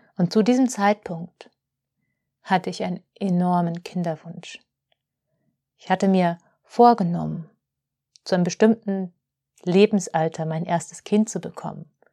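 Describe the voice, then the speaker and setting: A woman's medium-pitched voice with a dark, mellow tone, fairly slow and fairly even, broken by long, frequent pauses, on a very clean recording with a silent background and a dry, close sound with no echo. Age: 30s. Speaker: spiritual podcast host, holistic healer. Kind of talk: reflective monologue.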